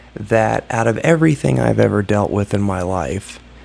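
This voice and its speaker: Someone with an American accent speaks at a moderate pace with lively intonation over noticeable background noise. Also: man. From Ohio, US Midwest. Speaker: YouTuber vlogger. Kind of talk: casual vlog monologue. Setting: hotel room. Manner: subdued, keeping voice down; halting, many fillers.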